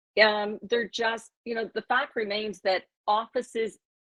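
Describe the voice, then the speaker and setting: Here is a woman with an unremarkable speaking voice. Her pitch is fairly high and her pace fairly slow. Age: 60s. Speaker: former real estate executive, panel guest. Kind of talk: panel discussion.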